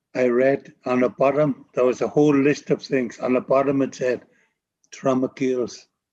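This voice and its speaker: A man talks at a moderate pace and medium pitch in a dark, mellow tone. His intonation is fairly even and his loudness very even. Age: 70s. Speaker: First Nations elder and healer. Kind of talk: interview.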